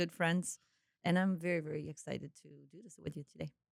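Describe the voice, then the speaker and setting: With a Croatian accent, a woman speaks at a fairly quick pace at a fairly low pitch and with fairly even intonation, in a dry, close sound with no echo. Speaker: entrepreneur. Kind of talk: podcast interview.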